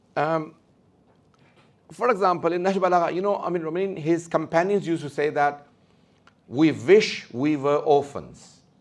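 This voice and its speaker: A man with a high-pitched voice is speaking. He leaves long, frequent pauses. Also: ordinary pitch variation. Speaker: religious speaker. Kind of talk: lecture. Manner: fast.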